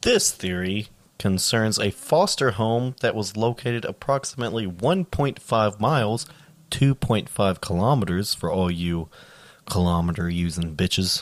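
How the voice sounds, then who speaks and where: An unremarkable speaking voice from a man, fairly low in pitch, at a moderate pace. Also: lively intonation. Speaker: podcast co-host. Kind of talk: casual banter with dark humor, occasionally reading case notes.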